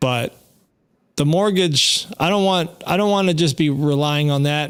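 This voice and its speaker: A man in a normal speaking voice at a moderate pace. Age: 50s. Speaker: podcast host. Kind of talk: casual chat. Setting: live stream.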